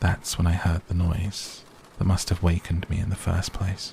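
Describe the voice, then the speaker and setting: The speaker is soft-spoken, with flat, monotone intonation. Background noise is noticeable. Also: man. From British. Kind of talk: sleep story. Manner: slow, relaxing.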